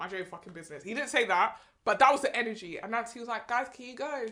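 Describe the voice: Fast and bright with a sharp tone, a woman talks at a fairly high pitch. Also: lively intonation.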